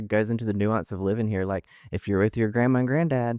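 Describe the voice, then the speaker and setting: Delivered with a Southern US accent, the speech moves at a fairly quick pace with fairly even intonation. The sound is dry and close with no echo, and the recording is very clean against a silent background. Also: man. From US South, Mississippi. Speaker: comedian and author. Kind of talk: casual chat. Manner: halting, many restarts.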